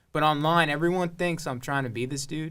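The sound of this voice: A man speaks with an American accent at a fairly high pitch and a fairly bright tone. His pace is fairly quick, with ordinary pitch variation.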